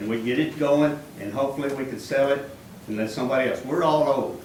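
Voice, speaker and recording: With a North Texas accent, a man talks at a fairly high pitch. Noticeable background noise and audible room echo surround him. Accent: North Texas drawl. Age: 60s. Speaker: golf course owner speaking at council meeting. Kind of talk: public comment at city council. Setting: city council meeting.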